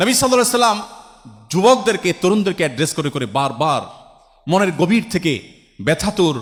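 A man is speaking. His voice has vocal fry. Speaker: Islamic preacher answering audience questions. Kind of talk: Islamic sermon (waz) answering a question from the audience.

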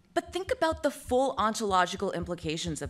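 A woman's fry-edged voice at a fairly quick pace. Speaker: conference speaker. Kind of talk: lecture. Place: hall. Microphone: podium.

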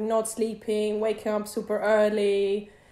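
A woman speaks with audible echo from the room. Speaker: guest. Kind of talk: interview answer. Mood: relaxed, cheerful. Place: home room. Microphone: video call.

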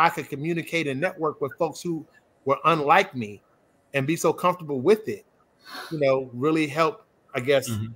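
A normal speaking voice, a man with an American accent at a fairly quick pace, fairly high pitch and ordinary pitch variation. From Chicago area, Illinois; Illinois. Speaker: accountant; panelist. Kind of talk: panel discussion. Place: home room.

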